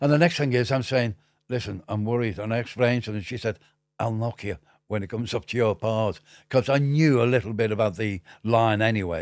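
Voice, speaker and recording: A man's medium-pitched voice with a Liverpool accent, fairly quick, with ordinary pitch variation, on a very clean recording with a silent background. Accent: Liverpool (Scouse). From Liverpool, northern England. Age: 70s. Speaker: music industry veteran. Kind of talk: interview storytelling. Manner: animated; halting.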